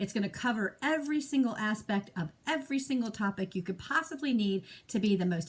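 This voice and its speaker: A woman speaks at a fairly quick pace with hardly any pauses, her somewhat breathy voice fairly high in pitch and lively in intonation. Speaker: direct sales consultant and trainer. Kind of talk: training call. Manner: fast.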